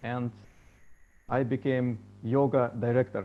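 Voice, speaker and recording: A man's medium-pitched voice, dark and mellow in tone. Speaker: musician and meditation teacher. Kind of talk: storytelling talk. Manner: halting.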